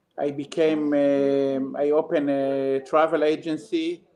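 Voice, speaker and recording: The man's pitch is fairly high. His intonation stays monotone and flat. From Israel. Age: 60s. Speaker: travel agent and geographer. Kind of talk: interview. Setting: remote live call. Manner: halting.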